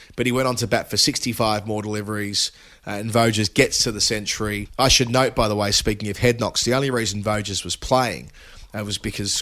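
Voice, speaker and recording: Fairly low in pitch, a man speaks at a fairly quick pace with fairly even intonation. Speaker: cricket broadcaster and podcast co-host. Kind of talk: casual chat. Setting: remote call from the UK.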